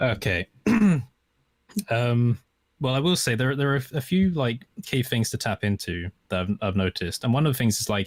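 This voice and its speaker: Speaking with an Estuary accent at medium pitch and a moderate pace, a man uses lively intonation, very even loudness and long, frequent pauses, in a dry, close sound with no echo. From southern England, estuary English area. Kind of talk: casual chat.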